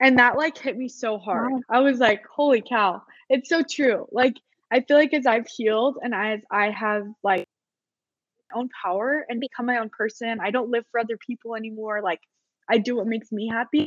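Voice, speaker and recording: A woman's fairly high, a plain, everyday voice with an American accent, dry and close with no echo. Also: ordinary pitch variation, moderate pace. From Utah. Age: 20s. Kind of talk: casual chat.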